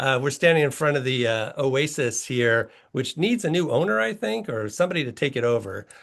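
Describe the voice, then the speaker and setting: Talking at a fairly quick pace with hardly any pauses, a man of medium pitch keeps his intonation lively. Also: quiet background. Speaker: heritage organization president. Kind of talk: online presentation. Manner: fast; conversational.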